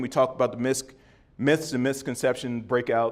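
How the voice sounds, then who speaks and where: At a fairly quick pace, a man with an unremarkable speaking voice and medium pitch talks in a very clean recording over a silent background. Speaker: former NFL player and league wellness executive giving a talk. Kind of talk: conference presentation.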